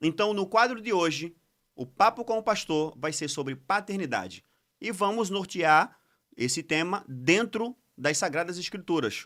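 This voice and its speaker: A man, in a very clean recording with a silent background. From Pernambuco, Brazil. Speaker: podcast host. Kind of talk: casual chat. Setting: studio.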